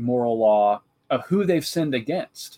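Recorded with a dry, close sound and no echo, a man with an American accent speaks at a medium pitch with ordinary pitch variation. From US Midwest, central Illinois. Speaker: theology professor. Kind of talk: interview.

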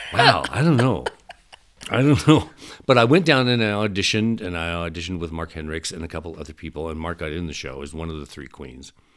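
A man with a Midwestern American accent and a very deep, low pitch talks at a very fast pace, his intonation lively and his loudness swinging widely. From southeast Nebraska. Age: 60s. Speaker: stage actor and voice actor. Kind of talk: casual interview. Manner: animated, laughs often.

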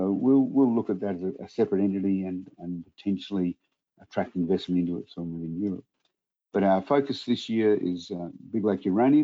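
This man speaks in an Australian accent at a fairly quick pace. His pitch sits fairly low, with ordinary variation. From Australia, Adelaide. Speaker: mining company executive. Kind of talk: interview.

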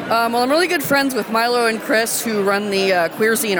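An enthusiastic woman's voice with ordinary pitch variation and crowd noise in the background. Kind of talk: casual interview chat. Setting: zine fest in large hall.

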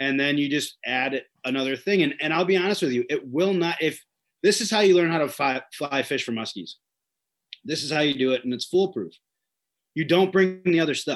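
A man speaks at a fairly quick pace in a plain, everyday voice. His pitch variation is ordinary. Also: fairly high pitch for a man. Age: 30s. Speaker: fishing guide. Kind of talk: casual interview.

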